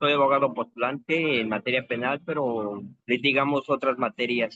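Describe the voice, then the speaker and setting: Speaking at a medium pitch with ordinary pitch variation, a man has an unremarkable speaking voice. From Mexico City, Xochimilco. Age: 60s. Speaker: criminal defense lawyer, master's student. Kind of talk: class discussion.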